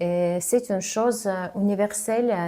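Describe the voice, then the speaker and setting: A woman talks at a very slow pace in a medium pitch. Her tone is dark and mellow, with fairly even intonation. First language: not French (speaking French). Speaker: communication coach, former TV journalist. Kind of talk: vlog tutorial. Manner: hesitant, frequent filler sounds; slower than native speech.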